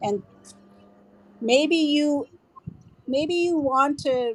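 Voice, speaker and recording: A woman speaks at a very slow pace. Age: 60s. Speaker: CrossFit coach. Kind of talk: interview answer.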